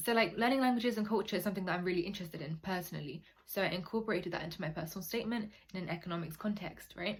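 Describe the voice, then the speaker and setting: In a British accent, a woman talks at a very fast pace. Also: medium pitch for a woman, ordinary pitch variation. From UK, Nigerian heritage. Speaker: university applicant advice YouTuber. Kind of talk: casual advice vlog. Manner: casual, chatty.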